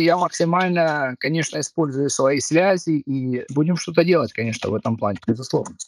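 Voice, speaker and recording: In a dry, close sound with no echo, a man speaks at a fairly quick pace with lively intonation. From Kharkiv, Ukraine. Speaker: artist and architect. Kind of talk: interview conversation. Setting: video call from Denmark.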